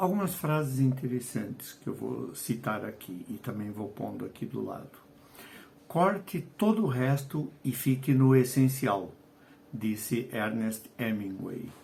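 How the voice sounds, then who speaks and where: Somewhat breathy and medium in pitch, a man speaks at a fairly slow pace with lively intonation and big swings in loudness. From Portugal, Lisbon. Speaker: writer and educator. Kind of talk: video lesson. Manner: hesitant, with fillers.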